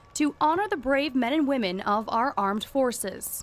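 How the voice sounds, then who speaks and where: Her pitch is high and her intonation lively. This woman speaks at a fairly slow pace. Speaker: television news reporter and anchor. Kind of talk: broadcast news reporting. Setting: live field reports and studio anchoring.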